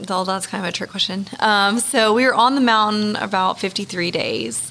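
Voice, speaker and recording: Moderate pace against noticeable background noise. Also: woman. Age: 30s. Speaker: mountaineer and pediatric nurse. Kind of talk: interview, casual chat. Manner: animated.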